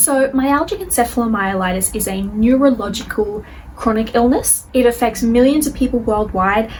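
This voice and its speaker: Through noticeable background noise, a woman with a fairly high voice speaks with lively intonation. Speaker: chronic illness video creator. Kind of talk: educational video monologue. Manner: fast; slurring words.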